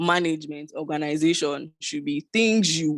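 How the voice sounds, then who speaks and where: A woman talks with a very deep, low pitch. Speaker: social media manager. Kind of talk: webinar talk.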